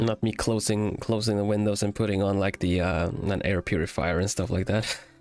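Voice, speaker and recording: Against music in the background, a man with a fairly low pitch talks at a fairly quick pace with hardly any pauses, fairly even intonation and very even loudness. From Sweden. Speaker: vtuber streamer. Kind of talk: casual chat. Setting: live stream.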